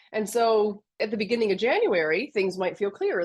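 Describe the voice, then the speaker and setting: A woman's normal speaking voice, medium in pitch, with lively intonation and a Canadian accent, over a quiet background. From Canada. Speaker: business mentor. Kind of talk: podcast interview.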